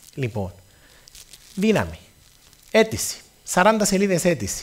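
A somewhat breathy man with a Cypriot accent, very wide pitch swings and a fairly slow pace. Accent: Cypriot Greek. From Cyprus. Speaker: radio station founder; guest. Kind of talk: speech to students. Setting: stage with audience. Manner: animated. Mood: humorous, warm. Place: stage. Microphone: headset.

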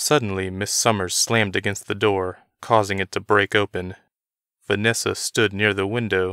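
Against a quiet background, the intonation stays fairly even in an unforced reading voice.

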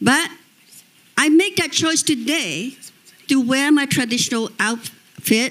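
Speaking with a Cambodian accent, a woman uses a high pitch and ordinary pitch variation. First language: Khmer. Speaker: exiled opposition politician. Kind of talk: panel discussion. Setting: stage with audience. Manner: passionate. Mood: earnest, advocating. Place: stage. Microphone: handheld.

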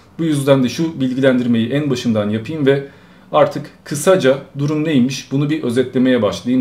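A man's dark, mellow tone at a moderate pace with ordinary pitch variation. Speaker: streamer. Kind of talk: live stream commentary. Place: home room.

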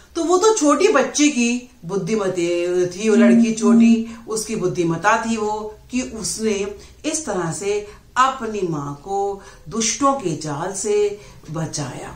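A woman at a very slow pace, with long, frequent pauses and audible room echo. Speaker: teacher. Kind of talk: lecture. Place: home room. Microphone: phone near.

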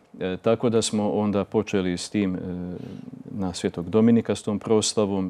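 The tone is dark and mellow, with monotone, flat intonation. The pace is moderate. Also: man. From northern Bosnia and Slavonia, Croatia; Croatia. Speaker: Dominican friar and parish priest; guest priest. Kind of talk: interview. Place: studio. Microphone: lapel.

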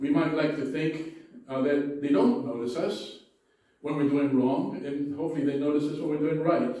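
There is strong room echo but a quiet background as a man talks at a moderate pace, his fairly high voice showing ordinary pitch variation. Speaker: pastor. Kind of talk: sermon. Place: church.

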